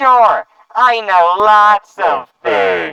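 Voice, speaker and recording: A put-on character voice at a fairly high pitch. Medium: audio drama. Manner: chummy, gleeful, mocking.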